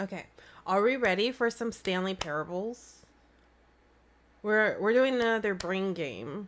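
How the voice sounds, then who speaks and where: A woman speaks fairly slowly at a medium pitch with ordinary pitch variation and long, frequent pauses. The recording is very clean, with a silent background. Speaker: gaming streamer. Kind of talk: casual live stream chat. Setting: live stream with webcam.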